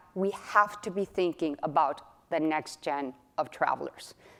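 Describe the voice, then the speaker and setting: Speaking at a moderate pace in a Spanish accent, a woman has an animated tone with ordinary pitch variation. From Mexico, Guadalajara. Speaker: company executive. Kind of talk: keynote presentation. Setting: stage with audience.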